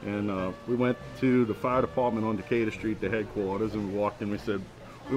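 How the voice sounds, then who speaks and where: A man's very fast, fairly low voice in a New Orleans accent, with ordinary pitch variation and music in the background. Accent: Chalmette. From Chalmette, Louisiana. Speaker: hotel maintenance engineer and cook. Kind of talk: interview. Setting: outdoors in a hotel courtyard.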